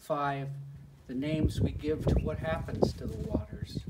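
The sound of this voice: A man with an American accent speaks at medium pitch with fairly even intonation and a dark, mellow tone. Audible echo from the room surrounds his voice.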